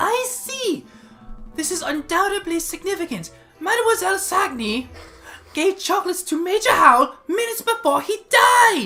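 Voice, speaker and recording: In a put-on character voice, a woman speaks at a moderate pace with an extremely high pitch, faint music playing in the background. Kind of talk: courtroom speech. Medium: actual play.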